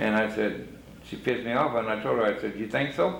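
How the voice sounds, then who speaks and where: Speech comes at a moderate pace. Room echo is audible. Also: man. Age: 70s. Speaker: formerly incarcerated man. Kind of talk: casual chat.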